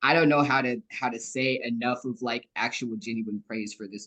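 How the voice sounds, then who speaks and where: Against a quiet background, a man with an unremarkable speaking voice talks at medium pitch and a moderate pace. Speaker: book club member. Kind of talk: casual chat. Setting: video call.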